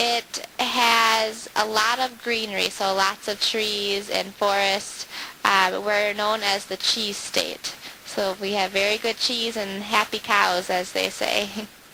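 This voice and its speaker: Her pitch sits at a medium level for a woman. She talks with an Upper Midwest accent in a monotone, flat intonation. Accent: Upper Midwest American. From US Midwest (Wisconsin). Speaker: student teacher. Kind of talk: interview. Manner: hesitant, with filler words.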